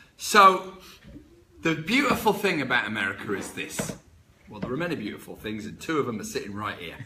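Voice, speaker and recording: A man with a slight English accent talks at a fairly quick pace and a fairly high pitch, with very wide pitch swings and big swings in loudness, over noticeable background noise and audible room echo. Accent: English, less strong. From England. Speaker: real estate broker. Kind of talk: casual chat. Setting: office.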